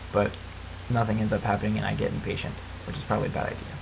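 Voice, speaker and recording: Very fast speech from a man, with noticeable background noise underneath. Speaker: gamer. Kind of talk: gameplay commentary. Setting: computer microphone. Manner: casual, self-deprecating.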